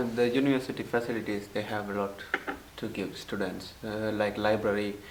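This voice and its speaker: With noticeable background noise and audible room echo, a man speaks fairly quickly at a fairly low pitch. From Sri Lanka. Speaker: international student. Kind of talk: interview testimony. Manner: halting.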